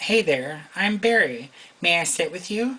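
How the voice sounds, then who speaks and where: Putting on a raspy character voice, a man talks at a moderate pace with high pitch and very wide pitch swings. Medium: read story. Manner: casual, friendly.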